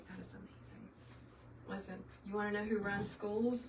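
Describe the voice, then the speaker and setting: A woman speaks at medium pitch. Noticeable background noise and audible room echo are present. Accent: slight Southern US. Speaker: craft tutor, former teacher. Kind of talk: live tutorial. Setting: livestream. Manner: animated.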